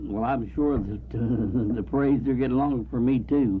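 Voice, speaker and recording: A man with an American accent speaks at a medium pitch and moderate pace, with audible room echo. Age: 70s. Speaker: community band musician. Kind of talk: radio interview.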